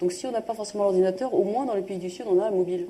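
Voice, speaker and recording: A woman's medium-pitched voice at a very fast pace, with ordinary pitch variation and noticeable background noise. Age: 40s. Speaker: social entrepreneur. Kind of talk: public talk interview. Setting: live event with audience.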